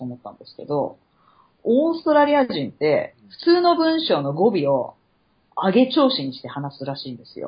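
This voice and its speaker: The woman speaks at a moderate pace, somewhat breathy. Her pitch swings very widely. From Japan, Chiba. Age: 30s. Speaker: podcast co-host. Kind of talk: casual chat. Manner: animated.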